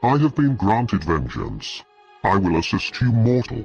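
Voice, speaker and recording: Over faint music in the background, a man growls in a booming, put-on character voice at a medium pitch. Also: moderate pace. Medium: solo performance. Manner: menacing, commanding.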